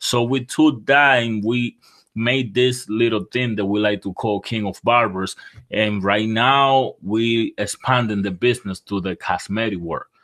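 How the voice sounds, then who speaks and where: Using fairly even intonation, a man with a Dominican accent speaks at a fairly slow pace and medium pitch. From Dominican Republic. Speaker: barber and entrepreneur. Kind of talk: interview.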